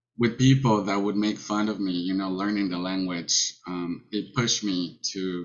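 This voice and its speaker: A man with a Mexican accent, fairly low in pitch, at a moderate pace. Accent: Mexican Spanish accent, noticeable. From Mexico. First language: Spanish. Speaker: college student panelist. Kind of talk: personal testimony on a panel. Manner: halting, many fillers.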